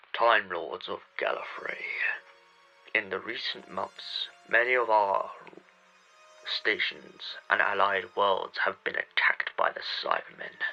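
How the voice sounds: A man's put-on character voice, low-pitched and slow, with vocal fry, big pitch swings, a bright, sharp tone and faint music in the background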